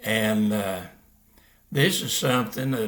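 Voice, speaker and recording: A man's fairly low voice with fairly even intonation and audible room echo. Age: 80s+. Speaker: Bible teacher. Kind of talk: religious teaching monologue. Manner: halting, many fillers.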